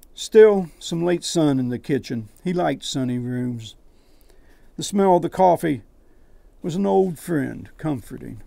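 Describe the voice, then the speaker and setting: With an Appalachian accent, this dark, mellow voice moves at a fairly slow pace, its intonation lively and broken by long, frequent pauses. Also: man, fairly high pitch for a man. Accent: Appalachian American. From West Virginia, US. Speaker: poet; air force veteran. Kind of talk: reading his own poetry and prose.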